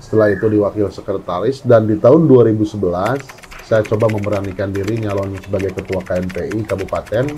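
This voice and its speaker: Fairly quick delivery with hardly any pauses, ordinary pitch variation and noticeable background noise. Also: man, fairly low pitch for a man. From Indonesia, West Java (Cianjur). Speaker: local politician. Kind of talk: interview. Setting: at his home. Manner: halting, many fillers.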